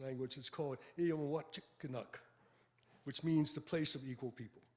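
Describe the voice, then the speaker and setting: A man speaks at a fairly high pitch with an American accent. His voice is somewhat breathy. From Boston, Roxbury. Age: 80s+. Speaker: retired sociology professor. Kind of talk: lecture. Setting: hall with live audience, also streamed by Zoom. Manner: halting, with fillers and self-corrections.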